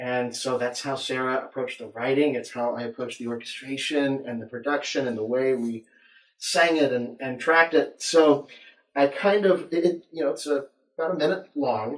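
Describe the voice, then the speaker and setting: A man's fairly high voice at a moderate pace, with ordinary pitch variation, audible room echo and a quiet background. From Oklahoma. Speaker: composer and music producer. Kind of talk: casual interview. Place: studio.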